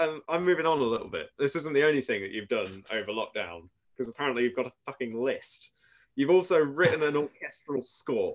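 A man's unremarkable speaking voice, fairly high in pitch, with lively intonation. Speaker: podcast co-host. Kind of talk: casual chat.

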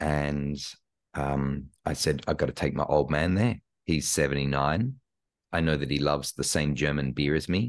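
A man with an Australian accent speaks at a moderate pace, his very deep, low voice showing vocal fry. His loudness stays very even. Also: ordinary pitch variation. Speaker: imposter syndrome coach and speaker. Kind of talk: casual interview chat. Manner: animated.

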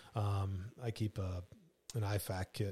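A man speaks in a fairly low, somewhat breathy voice. His intonation is monotone and flat, on a very clean recording with a silent background. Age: 40s. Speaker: fugitive recovery agent, former police officer. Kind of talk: casual chat.

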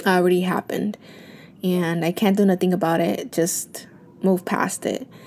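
Noticeable background noise sits behind this recording. A woman speaks at a fairly slow pace. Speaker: podcast host and stay-at-home mom. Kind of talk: casual solo podcast monologue.

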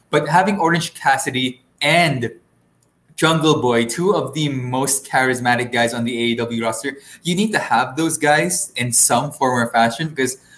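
Speaking at a moderate pace and medium pitch, a man with an unremarkable speaking voice shows ordinary pitch variation. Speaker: wrestling podcast host. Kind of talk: wrestling promo-style show intro and PPV review.

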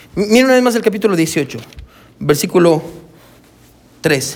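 The man's voice is high-pitched and swings very widely in pitch. He speaks at a moderate pace. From Guatemala. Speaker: pastor. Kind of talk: sermon. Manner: halting.

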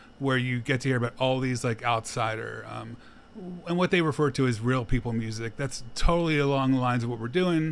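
A man with an American accent and an unremarkable speaking voice, medium pitch, fairly even intonation and a fairly quick pace. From Philadelphia, US. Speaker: podcast host. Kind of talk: casual interview chat.

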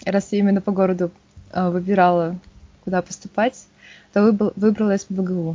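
A woman speaks at a moderate pace with a medium pitch and flat, monotone intonation, leaving long, frequent pauses. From Yakutsk, Russia. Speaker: geology researcher. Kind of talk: casual interview.

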